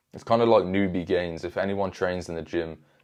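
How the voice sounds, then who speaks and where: At a fairly quick pace, a man with a British accent speaks in a very deep, low pitch over a quiet background. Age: 20s. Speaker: self-improvement youtuber. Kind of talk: motivational talk to camera. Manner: casual, animated.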